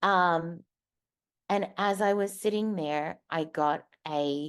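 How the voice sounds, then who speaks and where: A woman with an Australian accent speaks at a fairly low pitch against a quiet background. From Australia, Darwin. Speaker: keynote speaker, advertising professional. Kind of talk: motivational talk.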